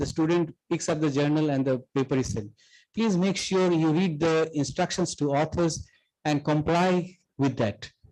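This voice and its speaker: At a moderate pace, a man talks with very even loudness and ordinary pitch variation. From Asia. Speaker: professor giving a workshop talk. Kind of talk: lecture. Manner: halting, with restarts.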